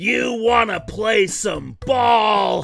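A raspy, put-on character voice speaks at a very slow pace. Clear music plays in the background. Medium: dub. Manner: cocky, playful.

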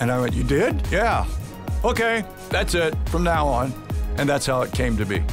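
With clear music in the background, a man talks at a moderate pace, leaving long, frequent pauses. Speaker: public address announcer. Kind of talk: casual interview answer, reminiscing about career. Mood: warm, proud, nostalgic. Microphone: headset.

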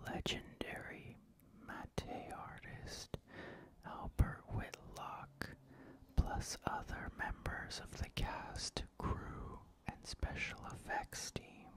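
The pace is very slow. A man whispers his words. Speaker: horror DVD collector. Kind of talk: reading DVD back covers. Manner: whispered. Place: home room. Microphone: studio mic.

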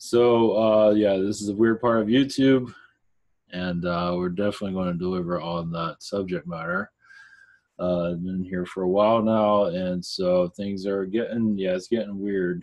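Fairly even intonation at a moderate pace over a quiet background. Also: man, very deep, low pitch for a man. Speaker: channel host. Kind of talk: casual vlog chat. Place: home room. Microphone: webcam.

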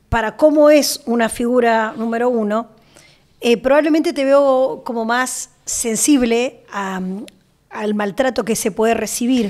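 A woman with an Argentine accent speaks at a high pitch and a fairly slow pace. Her pitch variation is ordinary, and the background is quiet. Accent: Argentine Spanish (Rioplatense). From Argentina. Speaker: journalist and interviewer; journalist, interviewer. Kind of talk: interview. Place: studio. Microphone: studio mic.

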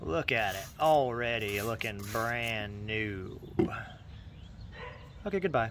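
A man's very slow speech with long, frequent pauses and ordinary pitch variation, dry with no echo, over noticeable background noise. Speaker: DIY video host. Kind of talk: casual tutorial narration. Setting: home workshop desk. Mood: upbeat, joking. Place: garden.

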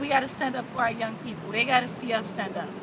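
A woman uses a raised, projected voice over noticeable background noise. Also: dry sound with no echo. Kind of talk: interview answer. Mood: earnest, passionate. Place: street. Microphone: phone near.

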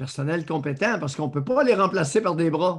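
Over a quiet background, a man talks at a moderate pace in a high pitch with ordinary pitch variation. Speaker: podcast co-host commentator. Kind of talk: commentary. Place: home room. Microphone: video call.

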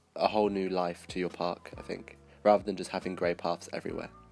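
Music plays in the background. Over it, a man talks in a very deep, low pitch. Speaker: video game builder. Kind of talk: gameplay commentary. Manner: casual, hesitant.

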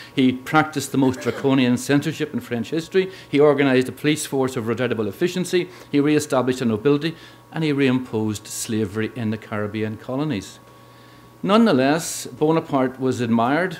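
A man with a medium-pitched voice speaks at a very fast pace. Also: ordinary pitch variation. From Northern Ireland, Belfast. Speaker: history professor. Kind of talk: lecture. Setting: lecture hall with audience. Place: hall. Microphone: podium.

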